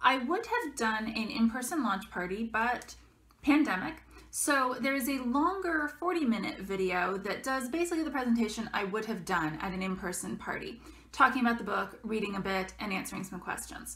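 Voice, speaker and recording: A woman with a fairly high pitch, very wide pitch swings and a moderate pace. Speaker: author. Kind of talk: casual talk to camera. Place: home room. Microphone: webcam.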